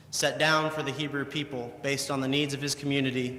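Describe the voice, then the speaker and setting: Noticeable background noise surrounds a man with a fairly high pitch. He talks fairly quickly in a monotone, flat intonation. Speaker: preacher giving a sermon. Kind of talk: sermon.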